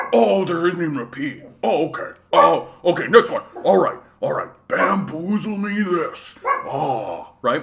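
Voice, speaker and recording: A man puts on a character voice. It is high-pitched and fairly slow. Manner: dopey, animated, goofy.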